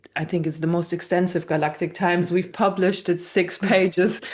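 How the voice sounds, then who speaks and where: This woman speaks with a non-native accent. Her pitch is fairly low and her intonation fairly even. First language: not English. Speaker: spiritual channeler. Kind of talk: casual interview chat.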